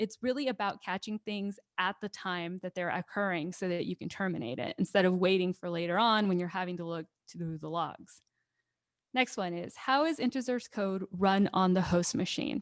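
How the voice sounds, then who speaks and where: With ordinary pitch variation, a woman's voice sits at a medium pitch. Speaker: cybersecurity webinar speaker. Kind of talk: webinar Q&A. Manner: fast.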